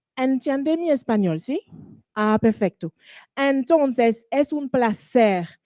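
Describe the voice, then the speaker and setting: Very slowly and with lively intonation, a woman speaks at a high pitch in a dry, close sound with no echo, music playing in the background. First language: French (speaking Spanish). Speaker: panel moderator. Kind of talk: panel moderation. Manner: halting, many fillers.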